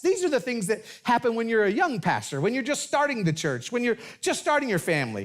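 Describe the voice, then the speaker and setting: A man's voice moves through very wide pitch swings. The recording is very clean, with a silent background. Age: 60s. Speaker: pastor. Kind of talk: sermon. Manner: halting.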